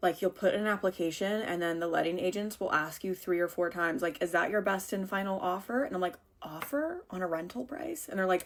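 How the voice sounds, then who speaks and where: A woman with an American accent talks at a very fast pace with hardly any pauses. Her medium-pitched voice has lively intonation. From United States. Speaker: lifestyle vlogger. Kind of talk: casual chat. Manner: chatty.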